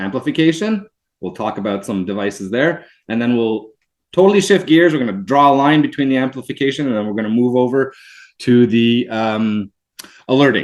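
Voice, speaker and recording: A man in a French accent, fairly quick, with lively intonation against a quiet background. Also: medium pitch for a man. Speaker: product representative. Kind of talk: webinar product demonstration. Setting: video webinar.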